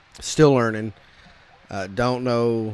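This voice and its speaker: A man with a Texas accent, fairly slow pace and monotone, flat intonation. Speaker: gaming content creator. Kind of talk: casual gameplay commentary. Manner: halting, many fillers and repetitions.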